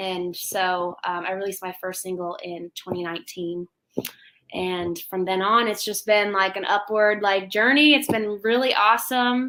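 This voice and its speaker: Her tone bright and sharp, a woman speaks at medium pitch with ordinary pitch variation and a moderate pace. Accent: American. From US Midwest, St. Louis. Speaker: country music singer. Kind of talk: casual interview chat.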